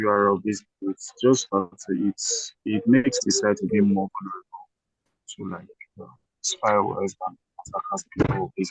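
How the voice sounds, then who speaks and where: A man speaks quietly at a moderate pace. The sound is dry and close, with no echo. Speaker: student. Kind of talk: class discussion.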